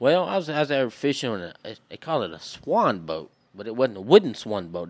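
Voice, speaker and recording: A man talks at a very fast pace with very wide pitch swings and big swings in loudness. The recording is very clean, with a silent background. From southwest Louisiana. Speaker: hunter and fisherman. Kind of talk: casual chat.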